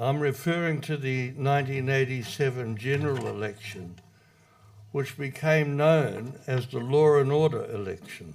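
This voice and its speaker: At a moderate pace, a man with a New Zealand accent speaks at medium pitch. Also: ordinary pitch variation. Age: 80s+. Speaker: retired public servant, speaker. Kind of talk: prepared speech read from notes. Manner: reading from notes.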